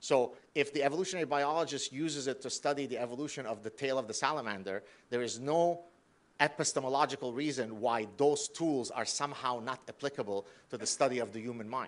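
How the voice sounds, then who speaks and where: Pitch variation in a man's voice is ordinary. He speaks very fast. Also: medium pitch for a man. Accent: Arabic. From Lebanon. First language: Arabic. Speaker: professor. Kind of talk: lecture.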